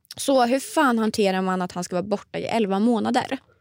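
A woman with a fairly high pitch speaks at a moderate pace in an ordinary speaking voice with ordinary pitch variation, on a very clean recording with a silent background. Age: 20s. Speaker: podcast co-host. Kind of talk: casual chat. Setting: studio.

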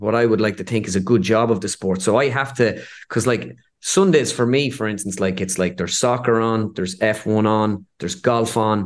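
An unremarkable speaking voice with ordinary pitch variation goes at a moderate pace over a quiet background. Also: man. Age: 30s. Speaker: impressionist. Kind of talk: casual chat.

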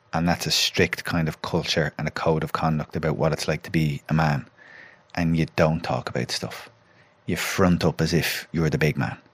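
In a Dublin accent, a man with a very deep, low voice and vocal fry speaks at a moderate pace with fairly even intonation, the sound dry and close with no echo. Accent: Irish (Dublin). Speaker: former footballer, pundit and psychotherapist. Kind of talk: casual chat.

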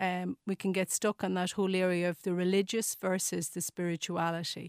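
A woman's medium-pitched voice with an Irish accent, a moderate pace and fairly even intonation, in a dry, close sound with no echo and a very clean recording with a silent background. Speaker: nursing professor. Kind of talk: radio interview. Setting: studio. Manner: hesitant, many fillers.

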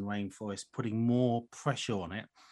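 With a British accent, a man speaks fairly quickly at a medium pitch, his intonation fairly even against a quiet background. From UK. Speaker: wildlife charity chief executive. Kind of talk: radio interview. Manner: hesitant, many fillers.

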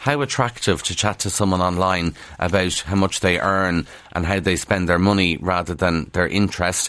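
In a quiet setting, a man with a very deep, low voice talks in a Kildare Irish accent. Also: ordinary pitch variation, moderate pace. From Ireland, County Kildare. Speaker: radio newspaper review presenter. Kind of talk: radio newspaper review. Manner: conversational, informal.

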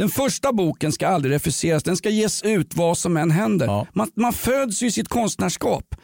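The sound is dry and close, with no echo, and the loudness stays very even. The pitch swings very widely at a moderate pace. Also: man, high pitch for a man. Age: 50s. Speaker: podcast host. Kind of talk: comedic casual chat.

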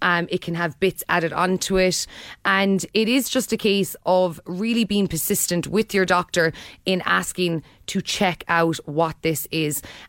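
A voice with an Irish accent, ordinary pitch variation and very even loudness, on a very clean recording with a silent background. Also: woman, medium pitch for a woman. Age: 30s. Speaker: radio host. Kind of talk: radio interview. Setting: radio studio.

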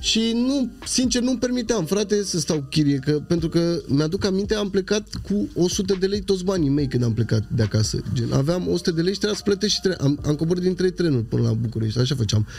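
With hardly any pauses, a man talks at a high pitch, his pitch swinging very widely while his loudness stays very even. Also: fairly quick pace. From Craiova, Romania. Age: 30s. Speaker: rapper. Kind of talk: casual chat.

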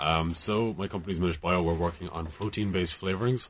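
With a Cork accent, the speaker talks at a very fast pace in fairly even intonation over a quiet background. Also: man. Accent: Irish, Cork. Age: 20s. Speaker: young entrepreneur. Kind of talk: studio interview. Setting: studio.

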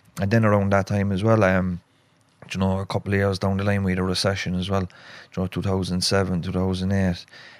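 Speaking with a Cork accent, a man uses a very deep, low pitch. His delivery is monotone and flat, in a very clean recording with a silent background. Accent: Cork Irish. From Cork, Ireland. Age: 30s. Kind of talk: casual conversational chat. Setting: studio with cameras.

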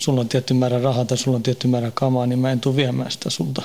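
Very fast and monotone, a man delivers flat intonation at a medium pitch. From Sweden, Stockholm suburb. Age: 40s. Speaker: prison inmate. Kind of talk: interview.

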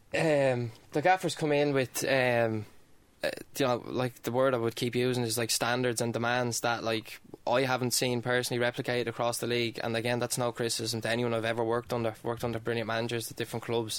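In an Irish accent, a man talks at a fairly quick pace with medium pitch and a monotone, flat intonation. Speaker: footballer. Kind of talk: casual chat.

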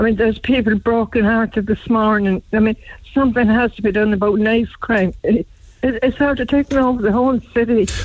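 Her loudness very even, a woman talks at a fairly quick pace and fairly high pitch with fairly even intonation. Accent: Cork. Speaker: caller. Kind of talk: radio phone-in. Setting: phone call.

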